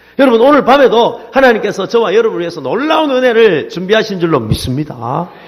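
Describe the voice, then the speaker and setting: A man talks at a very fast pace in a high-pitched, animated voice with very wide pitch swings. Audible room echo and noticeable background noise fill the recording. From Busan, South Korea. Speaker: pastor. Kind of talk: sermon. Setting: church service with congregation. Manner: animated, calls for audience responses.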